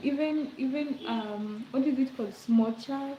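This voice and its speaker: Speaking at a fairly slow pace with ordinary pitch variation, a woman with a Kenyan accent is heard over noticeable background noise. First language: Swahili or other Kenyan language. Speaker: livestreamer. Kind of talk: casual chat. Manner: relaxed, chatty with fillers.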